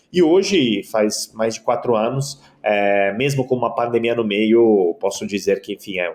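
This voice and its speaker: At a medium pitch with ordinary pitch variation, a man speaks with an Italian accent. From Italy. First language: Italian (speaking Portuguese). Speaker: keynote speaker and author. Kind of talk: podcast interview. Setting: podcast.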